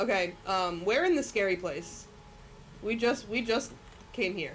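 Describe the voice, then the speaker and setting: A woman with a medium-pitched voice speaks at a fairly slow pace with lively intonation. Music plays in the background, and the room echo is audible. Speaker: streamer. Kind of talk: casual live-stream chat while gaming. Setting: live stream with music playing. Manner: loud; chatty, filler-heavy.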